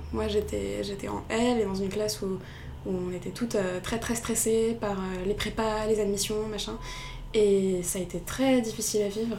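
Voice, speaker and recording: A woman with a medium pitch speaks at a moderate pace and a flat, monotone intonation, with audible room echo and noticeable background noise. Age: 20s. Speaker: student and novelist. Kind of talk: interview. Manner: hesitant, repeats words.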